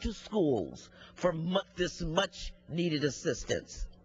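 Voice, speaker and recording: A woman's voice with very wide pitch swings, vocal fry, and a very slow pace. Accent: American. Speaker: member of the US House of Representatives. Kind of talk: congressional floor speech.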